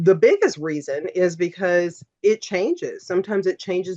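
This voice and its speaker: An ordinary speaking voice from a woman, fairly low in pitch, at a fairly slow pace. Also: dry, close sound with no echo. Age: 50s. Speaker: aesthetic nurse injector. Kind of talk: podcast interview.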